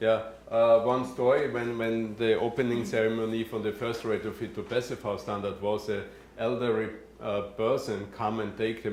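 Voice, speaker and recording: Against audible room echo, a man speaks at medium pitch in a flat, monotone delivery. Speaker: passive house building expert. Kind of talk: Q&A after a presentation. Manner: halting, many fillers.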